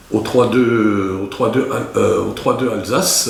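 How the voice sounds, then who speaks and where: A man speaking at a very slow pace, with audible room echo and noticeable background noise. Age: 60s. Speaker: war veteran. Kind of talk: interview. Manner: halting.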